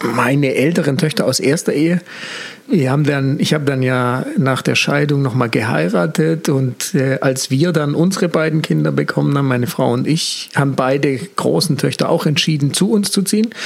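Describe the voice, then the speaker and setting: At a moderate pace, a man with a fairly high voice speaks at very even loudness with ordinary pitch variation, while noticeable background noise is present. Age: 40s. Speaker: communication consultant and mentor. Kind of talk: casual interview.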